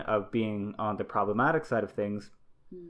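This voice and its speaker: A man talks with a fairly low pitch. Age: 30s. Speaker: father and cross stitch designer. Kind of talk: casual chat. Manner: halting, many fillers.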